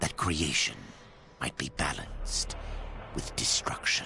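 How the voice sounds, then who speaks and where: A man's very deep, low-pitched voice. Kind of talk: epic trailer narration. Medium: game stream.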